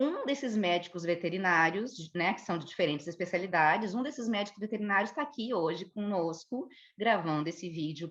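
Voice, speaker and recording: Speaking with a southern Brazilian accent, a woman moves at a moderate pace while her pitch swings very widely. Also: quiet background. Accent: Porto Alegre (gaúcho). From southern Brazil, Porto Alegre. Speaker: geneticist, biologist. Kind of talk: educational conversation.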